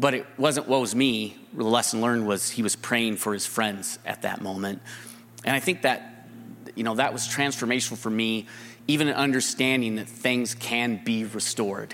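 A man's normal speaking voice, medium in pitch, with fairly even intonation at a moderate pace. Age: 50s. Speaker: business investor and advisor. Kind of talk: live testimony on stage.

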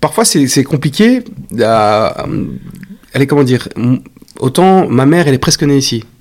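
A man speaks with lively intonation. His pitch is medium. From Belgium. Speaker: actor. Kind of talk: casual chat.

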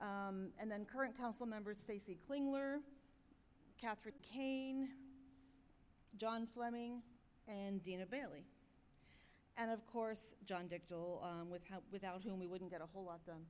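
A woman's medium-pitched voice at a fairly slow pace, with ordinary pitch variation and long, frequent pauses. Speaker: governance committee chair. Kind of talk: committee report at business meeting. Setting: podium at conference.

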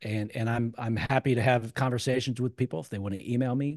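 A man with an American accent and an unremarkable speaking voice, fairly quick and fairly even in intonation, in a quiet background. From Cincinnati, Ohio, US. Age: 50s. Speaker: real estate investor. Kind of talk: interview.

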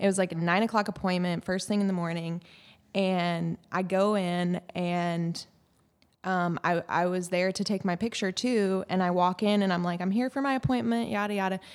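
A woman speaks in an ordinary speaking voice with an American accent, medium in pitch with ordinary pitch variation. Her moderate pace and very even loudness come through on a very clean recording with a silent background. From Washington State, Tacoma. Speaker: investigative reporter. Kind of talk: casual chat.

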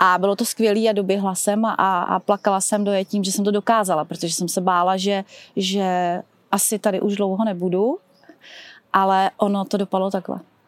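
A woman speaks at a fairly quick pace in a medium pitch, monotone and flat, with dry, close sound and no echo. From Czechia, České Budějovice. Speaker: drugstore branch manager, cancer survivor and runner. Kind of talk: casual interview testimony.

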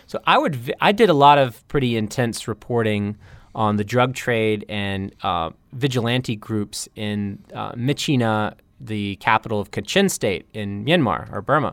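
A man speaks at a fairly slow pace in an ordinary speaking voice, medium in pitch with ordinary pitch variation, on a very clean recording with a silent background. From US South, North Carolina. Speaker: journalist. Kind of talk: interview.

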